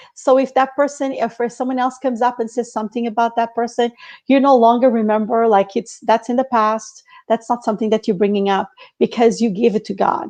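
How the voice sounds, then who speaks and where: The speaker has a Portuguese accent and a fairly quick pace. The intonation stays fairly even. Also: woman, fairly high pitch for a woman. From Portugal. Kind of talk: faith-based casual chat.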